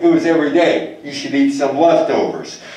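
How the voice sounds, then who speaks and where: A man with an American accent speaks at a moderate pace. Audible room echo surrounds him. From US. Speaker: lecturer. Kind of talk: lecture. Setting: live talk to in-person audience. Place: hall.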